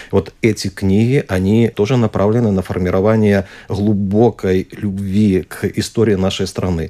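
A man speaks slowly-ish with a dark, mellow tone and a fairly low pitch. His intonation stays fairly even. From Belarus. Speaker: archaeologist. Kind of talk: radio interview. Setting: studio.

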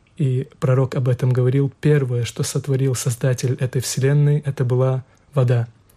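A man's somewhat breathy, medium-pitched voice, monotone and flat, at a moderate pace. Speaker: imam. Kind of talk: radio panel discussion.

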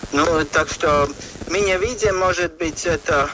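With a Latvian accent, the speaker shows ordinary pitch variation over noticeable background noise. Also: man. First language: Latvian (speaking Russian). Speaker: environmental expert. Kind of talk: interview. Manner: halting, many fillers.

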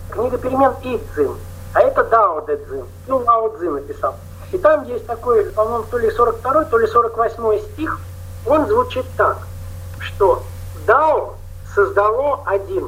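The pace is very slow. A man talks over noticeable background noise. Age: 60s. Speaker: Buddhist meditation teacher. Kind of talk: panel discussion.

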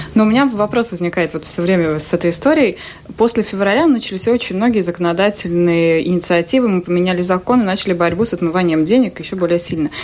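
Noticeable background noise sits behind a woman speaking at a very fast pace. Her pitch is medium, with ordinary pitch variation. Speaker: journalist. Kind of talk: radio interview. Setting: studio.

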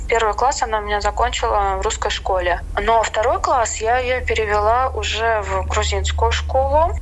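A woman's voice at a moderate pace, with very even loudness and hardly any pauses. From Latvia, Riga. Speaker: expat in tourism. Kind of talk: interview.

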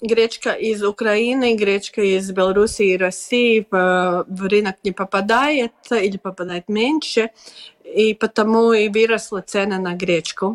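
Speaking at a very slow pace with a Latvian accent, a woman keeps a medium pitch and fairly even intonation, the sound dry and close with no echo. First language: Latvian (speaking Russian). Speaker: farmers' organization deputy chair. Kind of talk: radio interview. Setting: video call. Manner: halting.

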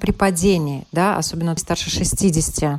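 A female voice with ordinary pitch variation comes through noticeable background noise. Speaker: radio health show host. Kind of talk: news reading.

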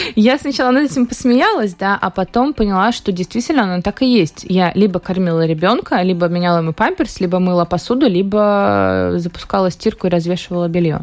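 Lively intonation marks this woman's fairly quick speech, with very even loudness, hardly any pauses and an ordinary speaking voice. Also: medium pitch for a woman. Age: young. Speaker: hairdresser and beauty salon owner. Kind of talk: radio interview. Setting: radio studio.

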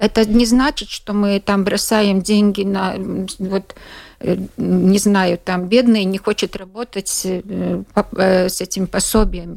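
A woman's voice with fairly even intonation at a very slow pace. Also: medium pitch for a woman. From Latvia, Latgale. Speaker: journalist. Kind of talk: radio interview. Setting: studio. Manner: halting, with many repetitions.

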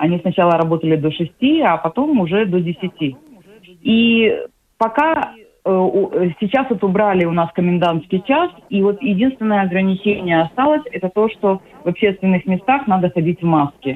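Lively intonation marks a woman's medium-pitched voice, delivered at a moderate pace with very even loudness. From Ukraine, Odesa. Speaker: psychological counselor. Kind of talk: radio interview. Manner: hesitant, many fillers.

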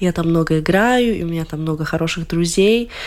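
Noticeable background noise under speech at a moderate pace. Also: woman. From Latvia. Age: 20s. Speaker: violinist. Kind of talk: radio interview.

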